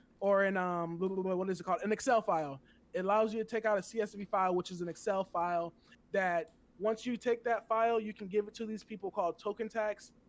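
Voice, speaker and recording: A man with a high pitch talks in an animated tone at a very fast pace. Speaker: crypto livestreamer. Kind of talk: live stream chat.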